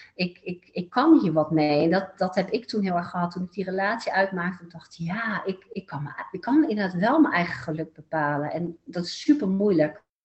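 Hardly pausing, a woman at medium pitch talks at a moderate pace with lively intonation and big swings in loudness. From Netherlands, Eindhoven (North Brabant). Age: 40s. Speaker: therapist. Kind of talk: interview. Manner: hesitant with many fillers.

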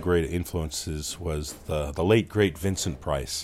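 Over noticeable background noise, a man's speech moves at a moderate pace. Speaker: podcast creator and narrator. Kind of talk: casual interview. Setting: in person, live show venue.

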